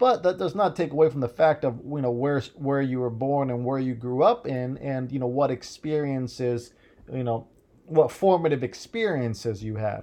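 His tempo is moderate. The man's medium pitch shows ordinary variation. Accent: American. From US Midwest. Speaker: solo podcaster. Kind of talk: casual monologue. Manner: halting, many fillers.

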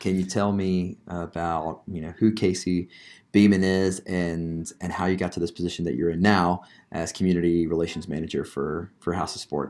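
A man with an American accent speaks at a moderate pace in a very deep, low voice with monotone, flat intonation. The recording is very clean, with a silent background. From New Jersey. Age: 30s. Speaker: podcast co-host. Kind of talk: casual chat.

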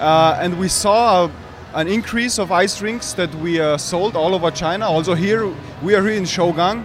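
Over background music, a man with a high voice speaks at a moderate pace with ordinary pitch variation. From Austria. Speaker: company general manager. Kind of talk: interview. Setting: trade expo.

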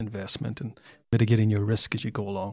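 A man's fairly low voice comes through with vocal fry. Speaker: podcast host. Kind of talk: casual interview.

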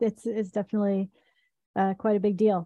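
A woman with an American accent talks at a very fast pace in a somewhat breathy voice with a dark, mellow tone. Her pitch is medium, and the background is quiet. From US South, Tennessee. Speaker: podcast host, company co-founder. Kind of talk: scripted intro; interview.

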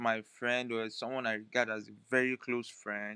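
Recorded with a dry, close sound and no echo, a man speaks in a monotone with flat intonation. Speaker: solo podcaster. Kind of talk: personal monologue. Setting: recording on a phone.

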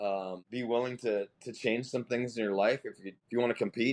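A man with a plain, everyday voice speaks at medium pitch and a moderate pace, with a dry, close sound with no echo. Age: 50s. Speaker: masters CrossFit athlete. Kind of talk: casual interview.

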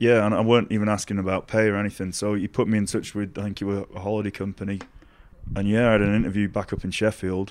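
With a Yorkshire accent, a man speaks at a very fast pace in a fairly low pitch, his intonation monotone and flat. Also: quiet background. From Doncaster, Yorkshire, England. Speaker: snowboarder and artist. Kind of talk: casual chat interview. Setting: in person at a snowboard festival in Switzerland.

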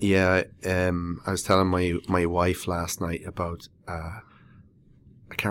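The recording is very clean, with a silent background. A man speaks with an Irish accent in a very deep, low pitch. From Ireland. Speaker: podcast host, structural engineer. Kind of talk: interview; scripted intro.

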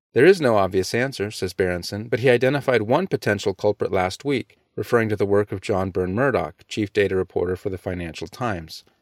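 A man with a plain, everyday voice talks at a fairly quick pace and a fairly low pitch, recorded very cleanly, dry and close with no echo over a silent background. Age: 40s. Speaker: founder of an anti-abortion education organization. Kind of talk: scripted narration. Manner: formal.

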